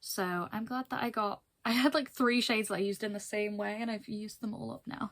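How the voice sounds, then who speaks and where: Speaking at a fairly quick pace, a woman with an unremarkable speaking voice keeps a fairly high pitch and fairly even intonation. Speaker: beauty vlogger. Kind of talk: casual vlog talk to camera.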